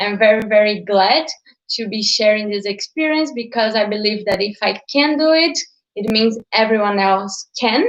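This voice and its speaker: A woman with a Portuguese accent speaks at a moderate pace with a medium pitch. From Brazil. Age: 20s. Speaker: digital entrepreneur. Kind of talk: live stream talk.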